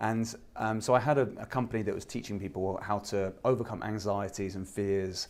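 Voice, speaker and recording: With an English accent, a man talks at a fairly quick pace with hardly any pauses. His voice is fairly low with fairly even intonation. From southern England (Eastbourne). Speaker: YouTube advertising expert. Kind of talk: interview. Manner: casual, many fillers.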